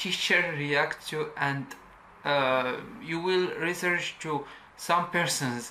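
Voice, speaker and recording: A woman with a non-native accent speaks at a very slow pace in a very deep, low pitch, with ordinary pitch variation. Audible room echo surrounds her voice. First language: not English. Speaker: YouTube tutorial creator. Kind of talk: tutorial. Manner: halting.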